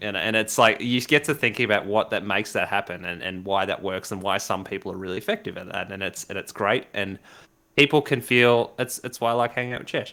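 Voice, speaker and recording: A man's fairly low voice with an Australian accent, bright and sharp in tone, at a very fast pace, in a very clean recording with a silent background. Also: ordinary pitch variation. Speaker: live stream talk show host. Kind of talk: casual chat. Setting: live stream. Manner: animated.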